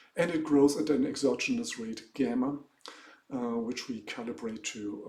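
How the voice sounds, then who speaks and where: At a fairly slow pace, a man speaks with a German accent amid audible room echo. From Germany. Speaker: economics professor. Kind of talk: lecture. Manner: halting.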